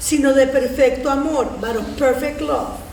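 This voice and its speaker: A woman with a high voice speaks at a fairly slow pace, with noticeable background noise and audible room echo. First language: Spanish. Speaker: community theater reader, social worker. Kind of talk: reading aloud poetry.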